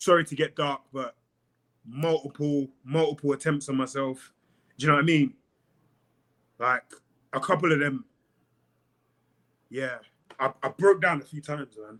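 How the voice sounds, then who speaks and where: A man with a London accent talks in a dry, close sound with no echo, his loudness swinging widely and his intonation fairly even, broken by long, frequent pauses. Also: fairly high pitch for a man, moderate pace. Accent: southern English (London). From South East London, England. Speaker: pro MMA fighter. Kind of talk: casual podcast interview.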